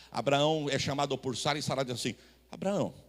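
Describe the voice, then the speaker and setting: A man talks at a moderate pace. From Brazil, São Paulo city. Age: 40s. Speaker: pastor. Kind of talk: sermon. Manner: animated.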